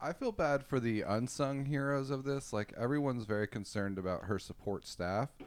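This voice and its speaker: A man's unremarkable speaking voice at medium pitch, with ordinary pitch variation, very even loudness, a fairly quick pace and hardly any pauses. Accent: American. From Texas, Austin. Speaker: comedian and rideshare driver. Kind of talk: casual chat.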